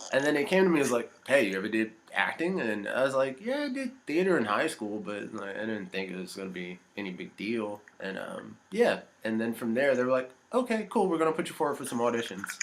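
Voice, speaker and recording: Talking at a fairly quick pace, a man with an American accent lets his pitch swing very widely. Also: medium pitch for a man. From US, Virginia. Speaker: actor. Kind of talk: interview.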